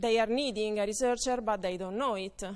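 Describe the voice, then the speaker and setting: Fairly high in pitch, a woman speaks with an Italian accent. Her pace is moderate and her intonation fairly even. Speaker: conference speaker. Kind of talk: conference talk. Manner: halting, many fillers.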